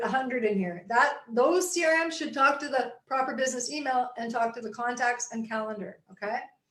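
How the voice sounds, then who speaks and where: A woman talks at a fairly quick pace in a high voice. Her pitch varies in an ordinary way. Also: hardly any pauses. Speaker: real estate tech coach. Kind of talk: webinar presentation. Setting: live online webinar. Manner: fast.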